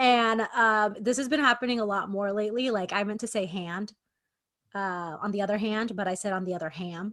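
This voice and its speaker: A woman talks at a fairly quick pace. Her pitch is medium, with ordinary variation. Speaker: podcast co-host. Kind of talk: casual chat. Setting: video call. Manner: loud.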